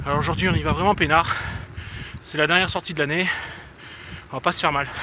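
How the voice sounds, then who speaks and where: Very fast and fairly even in intonation, a man speaks with a dry sound with no echo over noticeable background noise. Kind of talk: casual vlog chat. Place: bicycle. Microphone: phone near.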